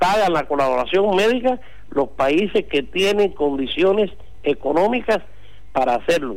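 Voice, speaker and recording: The man's pitch is high and his intonation lively. He speaks at a moderate pace with very even loudness. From Cuba. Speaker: doctor. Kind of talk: interview.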